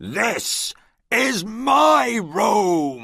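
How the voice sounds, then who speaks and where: This is a put-on character voice with a growling quality. Its pitch swings very widely. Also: man. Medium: read story. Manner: bossy, proud.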